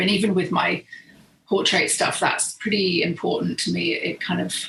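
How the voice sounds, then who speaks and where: Speaking in a British accent at a moderate pace, a woman with a fairly low pitch is heard over noticeable background noise. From southern England. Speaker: professional photographer. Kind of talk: podcast interview.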